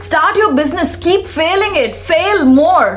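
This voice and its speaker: Amid noticeable background noise and audible room echo, a woman with a Telugu accent speaks in an animated tone with lively intonation. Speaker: self-help vlogger. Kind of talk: motivational talk.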